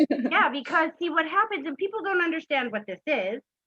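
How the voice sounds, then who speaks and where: A woman's raised, projected voice, high in pitch and bright and sharp in tone, with very wide pitch swings and a dry, close sound with no echo. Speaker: psychic medium. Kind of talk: live psychic reading session. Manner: animated.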